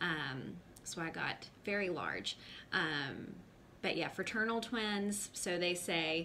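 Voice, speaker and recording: A woman with an American accent and fairly low pitch talks at a very slow pace, with audible room echo. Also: ordinary pitch variation. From US South, North Carolina. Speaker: mom vlogger. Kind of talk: personal testimony to camera. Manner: hesitant, many fillers.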